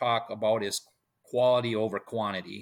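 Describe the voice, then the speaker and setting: A man with an Upper Midwest accent talks at a moderate pace. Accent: Upper Midwest American. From central Wisconsin. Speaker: high school baseball coach. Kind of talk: interview.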